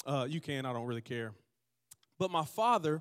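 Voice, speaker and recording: In a very clean recording with a silent background, a man with a Southern US accent speaks in an animated tone. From US South, Georgia. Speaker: pastor. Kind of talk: sermon. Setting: church with live audience. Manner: animated, call-and-response.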